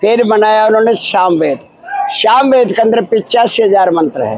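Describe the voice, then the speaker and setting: There is noticeable background noise behind this man. His voice is high-pitched, with ordinary pitch variation. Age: 80s+. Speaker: religious guru. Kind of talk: interview. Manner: halting.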